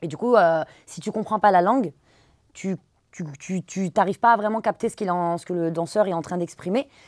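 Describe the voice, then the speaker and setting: At a fairly quick pace, a woman speaks with ordinary pitch variation in a dry sound with no echo and a quiet background. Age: 30s. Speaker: dance teacher and social media creator; dance teacher, social media creator. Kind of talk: interview. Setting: studio. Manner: halting, many fillers. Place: studio.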